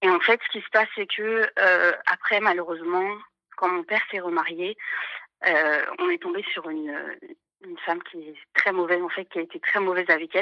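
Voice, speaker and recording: The delivery moves at a moderate pace. The tone is bright and sharp, with a dry, close sound and no echo. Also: woman. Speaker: caller. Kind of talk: personal testimony on live call-in. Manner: halting, many hesitations; trembling voice.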